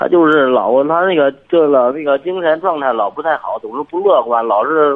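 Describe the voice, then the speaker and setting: A man with a fairly high pitch talks at a moderate pace, his pitch moving in an ordinary way. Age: 20s. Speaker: forklift driver, caller. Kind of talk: phone call-in. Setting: phone call. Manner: halting.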